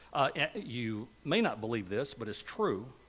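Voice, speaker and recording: The man talks at a fairly slow pace. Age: 60s. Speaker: Sunday school teacher. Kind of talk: Bible lesson. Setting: church. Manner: conversational.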